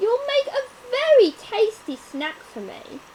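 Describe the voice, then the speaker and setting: A woman's put-on character voice, squeaky and growling, at an extremely high pitch, fairly slow pace, and very wide pitch swings. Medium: read story. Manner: gruff, scornful.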